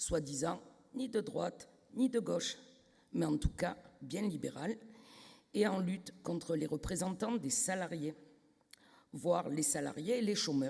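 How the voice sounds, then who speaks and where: Spoken at a fairly slow pace in a southern French accent, the speech has long, frequent pauses. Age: 60s. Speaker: trade union delegate. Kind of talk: congress speech. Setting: stage with audience, microphone.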